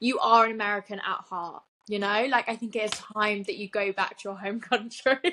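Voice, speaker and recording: In a British accent, a woman talks at a fairly quick pace. Her fairly high voice keeps a fairly even intonation. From southern England, Winchester. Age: 20s. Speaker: podcast co-host. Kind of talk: casual chat.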